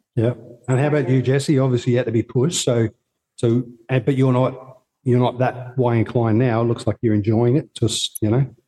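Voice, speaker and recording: In an Australian accent, a man talks at a fairly quick pace with a dark, mellow tone, somewhat breathy, his intonation monotone and flat and his loudness very even. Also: medium pitch for a man. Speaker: podcast host interviewing travellers. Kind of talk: casual interview.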